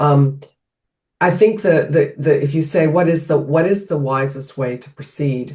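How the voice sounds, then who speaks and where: A woman speaks in a very deep, low pitch with a dark, mellow tone. Her voice is somewhat breathy, with ordinary pitch variation at a fairly slow pace. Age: 60s. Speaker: health coach. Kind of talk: podcast interview. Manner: halting, many restarts.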